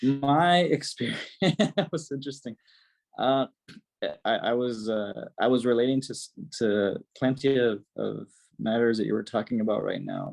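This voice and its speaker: Against a quiet background, a man with a slight Mexican accent speaks at medium pitch with ordinary pitch variation and long, frequent pauses. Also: moderate pace. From Mexico. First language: Spanish. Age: 30s. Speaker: mental health doctor and youtuber. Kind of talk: casual interview chat.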